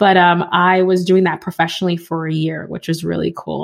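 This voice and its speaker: Fairly quick and in an American accent, a woman speaks with a normal speaking voice. Her pitch is fairly low. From New York City, the Bronx. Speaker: podcaster and community founder. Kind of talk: interview conversation.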